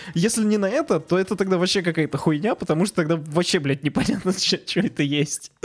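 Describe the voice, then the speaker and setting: Delivered at a fairly quick pace with hardly any pauses, the speech has ordinary pitch variation and very even loudness. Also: man, high pitch for a man. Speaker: podcast co-host. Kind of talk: casual chat.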